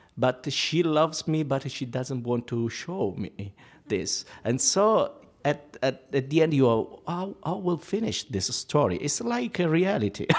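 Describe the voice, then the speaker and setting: Speaking very slowly with lively intonation and an Italian accent, a man is heard on a very clean recording with a silent background. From Italy. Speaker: opera singer. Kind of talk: panel discussion. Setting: stage with audience. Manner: halting.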